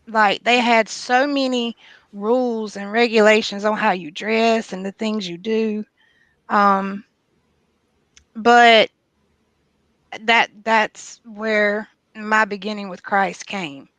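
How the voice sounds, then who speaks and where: A woman's fairly high voice in a Southern US accent, very slow pace with long, frequent pauses, fairly even intonation and big swings in loudness, dry and close with no echo against a quiet background. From US South. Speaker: guest sharing testimony. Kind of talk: testimony.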